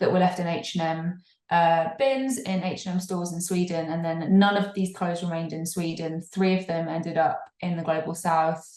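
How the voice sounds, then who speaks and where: A woman with an English accent speaks at a fairly low pitch in monotone, flat intonation. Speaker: fair fashion campaigner. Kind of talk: podcast interview. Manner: halting, frequent repetitions.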